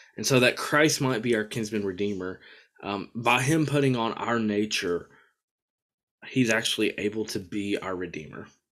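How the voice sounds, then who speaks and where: A man's medium-pitched voice with an American accent, moderate pace, ordinary pitch variation and a normal speaking voice. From US South. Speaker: podcast host, divinity student. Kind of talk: casual theological discussion. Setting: video call.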